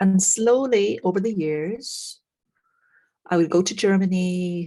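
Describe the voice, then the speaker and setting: In a very clean recording with a silent background, a woman with an Irish accent speaks very slowly in a fairly low, dark, mellow voice with ordinary pitch variation. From Ireland. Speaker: frequency therapy practitioner. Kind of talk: interview.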